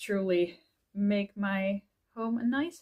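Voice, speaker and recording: A woman speaks at a fairly high pitch in a very clean recording with a silent background. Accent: Dutch. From Netherlands. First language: Dutch. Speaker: author and YouTuber. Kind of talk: casual vlog. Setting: at home in front of bookshelf.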